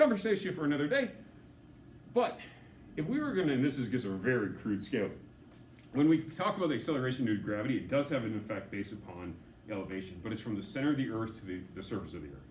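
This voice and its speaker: A man's medium-pitched voice at a very fast pace, with very wide pitch swings, long, frequent pauses and audible room echo. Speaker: physics teacher. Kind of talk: lecture.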